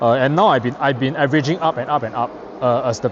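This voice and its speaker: A man speaks at a fairly quick pace with ordinary pitch variation. Noticeable background noise can be heard. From Singapore. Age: late 30s. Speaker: investing youtuber. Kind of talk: casual explainer vlog. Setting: outdoors touring Shanghai. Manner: hesitant with many fillers and repetitions.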